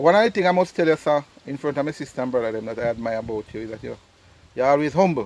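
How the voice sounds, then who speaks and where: A man with a Jamaican accent talks very fast at a fairly high pitch. His intonation is lively and his loudness swings a lot. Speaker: travel vlogger. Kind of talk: family interview.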